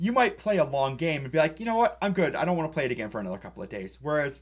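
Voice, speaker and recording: Vocal fry and very wide pitch swings from a man with a fairly high pitch, very clean recording, silent background. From New England. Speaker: board game podcast co-host. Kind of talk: casual chat.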